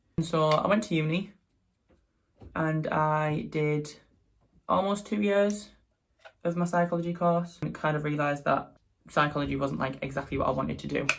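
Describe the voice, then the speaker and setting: With a Teesside accent and a fairly high pitch, a man talks at a moderate pace in a fairly even intonation, leaving long, frequent pauses. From northeast England, Teesside. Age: 20s. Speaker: makeup artist and drag performer. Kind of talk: casual vlog chat.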